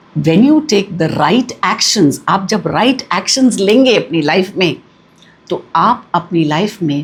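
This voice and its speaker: The voice is somewhat breathy, with very wide pitch swings. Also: woman. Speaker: numerology and vastu consultant, cosmic energy coach. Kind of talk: spiritual teaching talk to camera.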